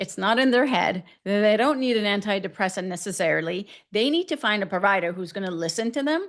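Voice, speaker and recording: Using an unremarkable speaking voice, a woman speaks in an American accent at a moderate pace. Her pitch variation is ordinary, and the background is quiet. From US West, Northern California. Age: 40s. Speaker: physician, menopause specialist. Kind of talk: podcast interview. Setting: podcast interview.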